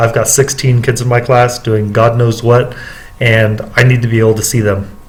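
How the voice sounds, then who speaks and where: Medium-pitched man at a moderate pace, with audible room echo. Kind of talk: casual vlog monologue. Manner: hesitant, many fillers.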